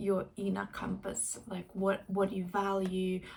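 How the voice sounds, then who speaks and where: A woman's dark, mellow tone comes through somewhat breathy. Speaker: life and career coach. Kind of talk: casual reflective talk to camera. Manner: hesitant, with many fillers.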